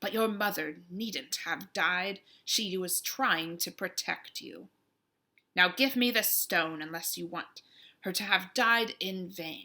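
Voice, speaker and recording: A woman's put-on character voice, medium-pitched, menacing, hissing and growling, at a fairly slow pace on a very clean recording with a silent background. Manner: hissing, menacing.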